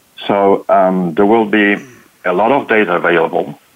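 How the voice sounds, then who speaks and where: A man with fairly low pitch, ordinary pitch variation and a moderate pace, plus noticeable background noise. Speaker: technology company employee. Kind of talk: panel discussion. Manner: halting.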